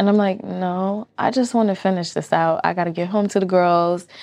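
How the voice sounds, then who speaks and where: Against a quiet background, a woman speaks at a moderate pace in a fairly low voice with fairly even intonation. It is an ordinary speaking voice. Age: 30s. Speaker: skincare business owner. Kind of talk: casual interview.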